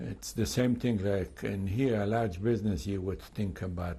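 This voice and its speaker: A man's somewhat breathy, fairly low voice with a dark, mellow tone and audible room echo. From Poland, Lviv. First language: Polish or Yiddish. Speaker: Holocaust survivor. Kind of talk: testimony interview. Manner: halting, many fillers.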